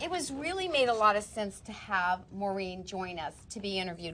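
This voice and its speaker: A woman talks at a fairly quick pace in a medium pitch. She has an ordinary speaking voice. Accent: American. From Texas. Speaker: talk show host. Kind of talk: interview.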